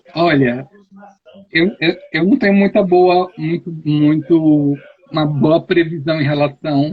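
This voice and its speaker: This is a man's voice. His pitch is fairly high. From Brazil, Ceará. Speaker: youth ministry adviser. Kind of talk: interview on live stream. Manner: animated.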